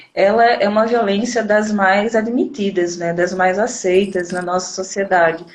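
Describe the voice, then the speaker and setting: In a room with audible echo, a woman speaks at a medium pitch with ordinary pitch variation. Her pace is fairly slow, with hardly any pauses. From Northeast Brazil, Recife. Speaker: teacher, educator and activist. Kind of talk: live interview. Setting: Instagram live video.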